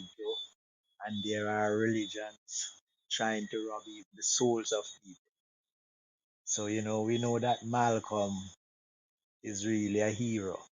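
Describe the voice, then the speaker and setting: The speaker goes at a fairly slow pace in a monotone, flat delivery, with long, frequent pauses. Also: man, fairly low pitch for a man. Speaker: discussion participant. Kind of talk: group discussion. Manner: quiet.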